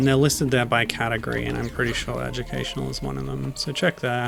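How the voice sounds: An Australian accent at a fairly quick pace, with music in the background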